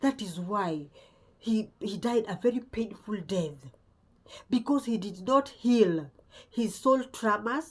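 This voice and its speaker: Her intonation lively and her voice somewhat breathy, a woman talks at a very slow pace. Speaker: spiritual content creator. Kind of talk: spiritual talk to camera. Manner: halting.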